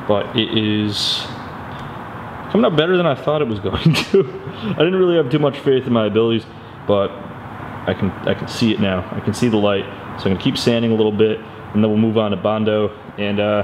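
A man with a fairly low pitch at a fairly quick pace, over noticeable background noise. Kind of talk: casual vlog chat. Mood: pleased, upbeat. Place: garage. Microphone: phone near.

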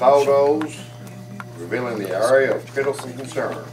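A man talks at a moderate pace with faint music behind him. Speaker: resident addressing city council. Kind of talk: reading a letter aloud at a public meeting. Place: hall.

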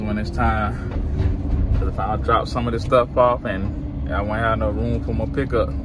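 Noticeable background noise beneath a man's dry voice with no echo. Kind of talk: casual vlog chat. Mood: upbeat, joking. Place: car. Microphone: phone near.

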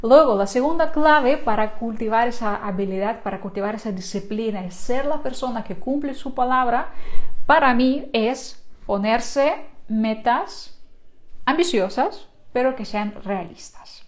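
With lively intonation, a woman speaks at a fairly slow pace in a high pitch. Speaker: online creator and course instructor; online creator, course instructor. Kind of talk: live stream talk to viewers. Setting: live stream. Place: home room. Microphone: lapel.

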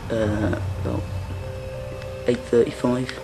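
A very slow pace over clear music in the background. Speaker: explorer vlogger. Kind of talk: casual vlog narration. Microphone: phone near.

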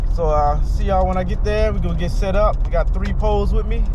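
A man talks at a moderate pace in a dry sound with no echo, with background noise clearly present. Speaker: fishing vlogger. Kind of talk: casual vlog chat. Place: car.

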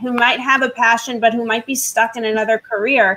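A woman speaks in a normal speaking voice, fairly high in pitch, at a moderate pace. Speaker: talk show host and lawyer; talk show host, lawyer. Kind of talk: roundtable interview. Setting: live online stream. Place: home room. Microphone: webcam.

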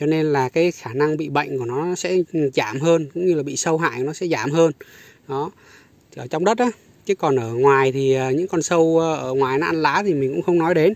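A man talks at a moderate pace with a fairly high pitch and ordinary pitch variation. The sound is dry, with no echo. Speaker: strawberry farmer and video creator. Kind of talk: tutorial. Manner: repetitive, hesitant with fillers. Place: garden. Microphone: phone near.

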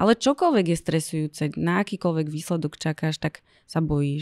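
In a dark, mellow tone, a woman speaks at a moderate pace with a fairly low pitch and ordinary pitch variation against a quiet background. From Slovakia. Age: 30s. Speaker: blogger and cancer patient; podcast guest. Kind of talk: interview. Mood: serious, reflective. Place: studio. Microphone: studio mic.

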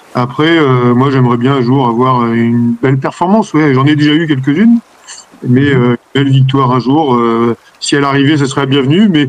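The man talks at a fairly quick pace in a medium pitch, his pitch varying in an ordinary way. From France, Normandy (Manche); Normandy, France. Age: 40s. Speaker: sailor; interviewee. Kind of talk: interview. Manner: hesitant. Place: home room. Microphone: video call.

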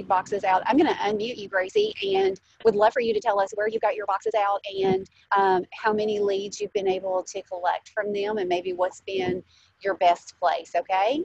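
A woman at a moderate pace, her intonation fairly even, the sound dry with no echo. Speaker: meeting host. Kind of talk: meeting facilitation. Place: car. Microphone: earbuds.

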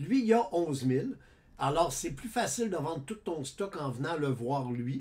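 With a Quebec accent, this man talks at a fairly high pitch, his voice somewhat breathy and his intonation lively. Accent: Québécois French. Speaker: gaming YouTuber. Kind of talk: gameplay tutorial. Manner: casual, halting with many fillers.

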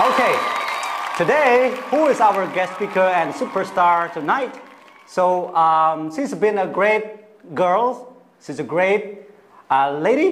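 Over light background noise, a man with a high-pitched voice and lively intonation speaks at a very slow pace. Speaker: talk show host. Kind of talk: talk show host introduction. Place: studio.

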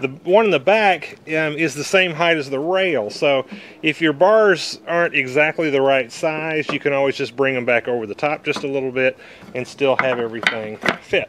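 A man speaking at a moderate pace, with ordinary pitch variation and light background noise. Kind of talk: tutorial. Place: garden. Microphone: phone near.

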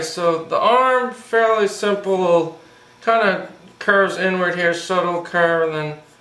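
Audible room echo surrounds the voice. A man speaks at a high pitch. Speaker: cartoon drawing instructor. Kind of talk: tutorial. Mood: enthusiastic, friendly.

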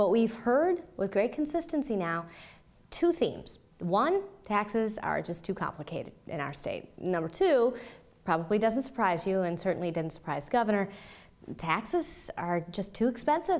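A woman at a moderate pace with very wide pitch swings. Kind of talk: interview answer. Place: office.

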